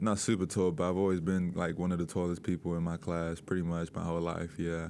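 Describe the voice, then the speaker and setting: This man talks at a fairly quick pace in a very deep, low voice. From London, England. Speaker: college basketball player. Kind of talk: press interview.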